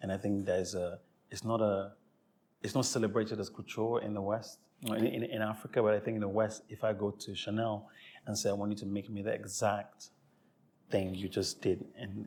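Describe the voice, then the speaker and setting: Fairly low-pitched man at a fairly quick pace, intonation monotone and flat. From Sierra Leone, Freetown. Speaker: fashion creative director. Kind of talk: interview. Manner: halting, frequent self-repetition.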